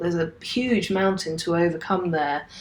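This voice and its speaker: Here a woman is talking. Her speech carries a British accent. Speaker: software teacher. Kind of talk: tutorial. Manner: casual; fast.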